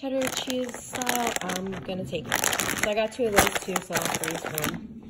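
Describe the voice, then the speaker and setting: A woman speaks at a moderate pace against loud background noise. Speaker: home vlogger. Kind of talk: casual grocery haul chat. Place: kitchen. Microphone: phone near.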